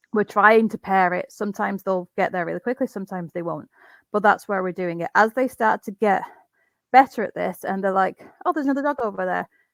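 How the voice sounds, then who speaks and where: At a very fast pace, a woman speaks in a medium-pitched voice with ordinary pitch variation, the sound dry and close with no echo. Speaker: dog trainer. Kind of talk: webinar presentation. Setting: video call.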